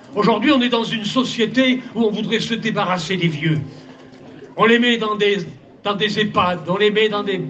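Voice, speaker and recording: A man's high-pitched voice at a moderate pace, ordinary pitch variation, long and frequent pauses, audible room echo and noticeable background noise. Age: 70s. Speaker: pastor. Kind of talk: sermon. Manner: animated.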